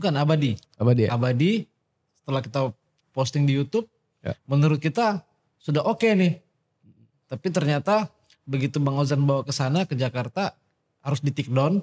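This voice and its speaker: Somewhat breathy and fairly high, a man talks at a very fast pace with lively intonation and long, frequent pauses, in a dry, close sound with no echo. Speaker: music enthusiast. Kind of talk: casual chat. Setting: studio.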